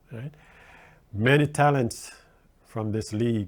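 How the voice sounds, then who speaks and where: A man talks at a very slow pace. His pitch sits in the medium range. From Jamaica. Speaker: guest radio host. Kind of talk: radio talk show monologue. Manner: animated.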